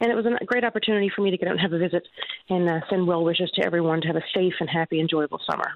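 A woman talks at a very fast pace with an upbeat tone. Her loudness stays very even over noticeable background noise. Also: fairly low pitch for a woman. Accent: Newfoundland. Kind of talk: radio interview. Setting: phone call.

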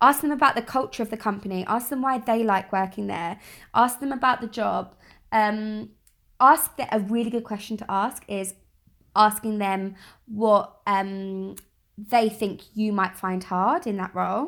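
Fairly slow, fairly high-pitched speech from a woman with a London accent, in a very clean recording with a silent background. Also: ordinary pitch variation. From South East London. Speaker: media professional. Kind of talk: casual chat.

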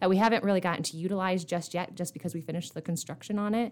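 A woman with an Upper Midwest accent talks with ordinary pitch variation. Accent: Upper Midwest American. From eastern South Dakota. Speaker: nonprofit fundraising director. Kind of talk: casual interview.

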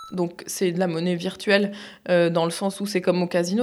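Fairly low in pitch with vocal fry, a woman talks at a fairly quick pace. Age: 30s. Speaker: cam model. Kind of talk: interview.

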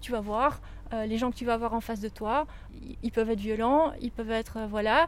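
A woman speaks in a plain, everyday voice. Her pitch is fairly high and her pace fairly quick. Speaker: workshop facilitator and podcast presenter. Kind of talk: workshop instructions and narration. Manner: directive, clear.

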